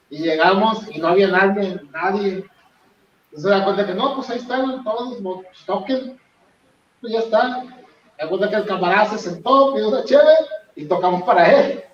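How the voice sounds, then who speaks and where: A man's high voice at a moderate pace, with big swings in loudness, long, frequent pauses, ordinary pitch variation and audible room echo. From Monterrey, northern Mexico. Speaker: rock band guitarist. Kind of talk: interview.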